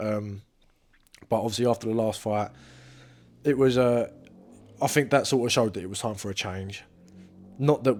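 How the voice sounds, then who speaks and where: A man speaks at a fairly quick pace in an English accent. The recording is very clean, with a silent background. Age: 20s. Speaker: professional boxer. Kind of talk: interview. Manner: casual.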